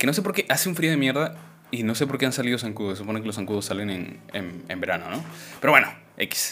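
Amid noticeable background noise, a man with medium pitch talks at a very fast pace with very wide pitch swings. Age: 20s. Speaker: podcast host. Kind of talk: casual chat. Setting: live stream.

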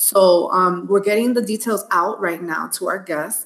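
A woman with an American accent, medium pitch, and ordinary pitch variation, over noticeable background noise. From the Bronx, New York. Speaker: podcast co-host, live stream. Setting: lives in Miami, Florida. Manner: casual, welcoming.

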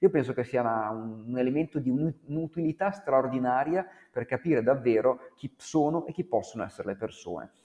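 An unremarkable speaking voice with lively intonation at a fairly quick pace. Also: man, medium pitch for a man. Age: 40s. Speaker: author and former musician. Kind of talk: interview.

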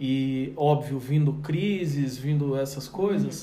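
Speaking fairly slowly, a man's words carry audible room echo. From Brazil, countryside town. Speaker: podcast host. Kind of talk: casual chat.

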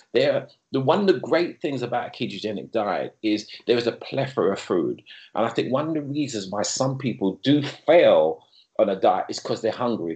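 A man speaks at a moderate pace with a quiet background behind him. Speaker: personal trainer and health coach. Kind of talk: casual interview.

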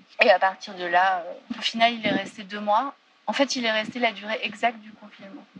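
Over noticeable background noise, a woman speaks at a moderate pace. Her voice is fairly high, with ordinary pitch variation. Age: 30s. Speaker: theatre director. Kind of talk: testimony.

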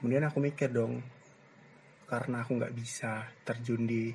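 At a moderate pace, a man speaks in a somewhat breathy, dark, mellow tone with medium pitch and monotone, flat intonation. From East Java, Gresik. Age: 20s. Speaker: university student, podcaster. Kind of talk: solo casual monologue. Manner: hesitant, many fillers.

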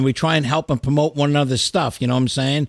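No echo colors this dry, close sound. Behind it, the background is silent and the recording very clean. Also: man. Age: 50s. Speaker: podcast host and heavy metal musician. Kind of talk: casual chat. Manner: animated.

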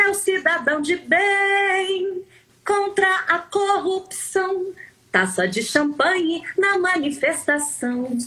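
A raised, projected voice with a bright, sharp tone keeps its loudness very even and its pitch variation ordinary while moving at a very slow pace. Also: woman, extremely high pitch for a woman. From Rio de Janeiro state, Brazil. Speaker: singer. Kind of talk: casual chat.

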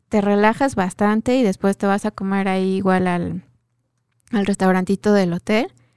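With a quiet background and dry, close sound free of echo, a woman speaks at a moderate pace with medium pitch and fairly even intonation. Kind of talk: casual chat. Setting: radio studio booth. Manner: talkative.

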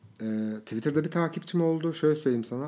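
A man speaks in a dark, mellow tone. His pitch moves in an ordinary way. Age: 30s. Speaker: influencer manager and blogger. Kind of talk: casual interview chat.

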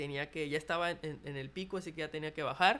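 A man with an unremarkable speaking voice talks at a fairly high pitch with fairly even intonation. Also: very clean recording, silent background. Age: 20s. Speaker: podcast host. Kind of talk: casual monologue. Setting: hotel dining room, open space. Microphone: possible echo, no pop filter.

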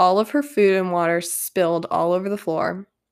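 The woman speaks in an animated tone at a medium pitch. Her pitch variation is ordinary. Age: 20s. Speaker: podcast host and graduate student. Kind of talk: casual monologue.

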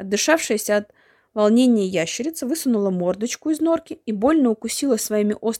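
The speaker reads aloud plainly, with lively intonation.

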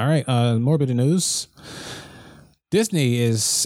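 A man with an unremarkable speaking voice keeps a medium pitch, ordinary pitch variation and a moderate pace. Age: 20s. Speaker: podcast host. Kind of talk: casual chat; news reading.

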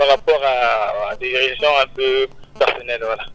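Very wide pitch swings mark a man's speech at a very slow pace. The sound is dry and close with no echo, with noticeable background noise. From Republic of the Congo. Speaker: gospel singer. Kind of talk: radio interview. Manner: halting.

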